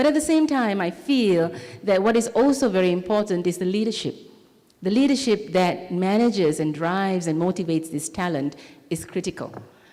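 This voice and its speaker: Her voice is dark and mellow, a woman's at medium pitch, with lively intonation. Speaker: technology industry leader, conference speaker. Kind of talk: conference keynote talk. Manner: fast.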